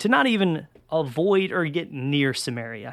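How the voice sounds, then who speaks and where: With a Southern US accent, a man speaks at fairly high pitch with lively intonation on a very clean recording with a silent background. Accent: Southern US (Georgia). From Georgia, US South. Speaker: college pastor. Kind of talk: sermon-style podcast talk. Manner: casual, conversational.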